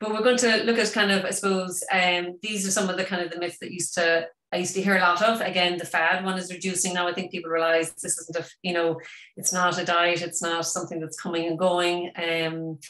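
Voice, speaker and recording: With an Irish accent and noticeable background noise, a woman talks at a fairly quick pace in a monotone, flat intonation and a fairly low pitch. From Ireland. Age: 50s. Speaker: vegan wellness expert. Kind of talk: webinar talk. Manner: fast.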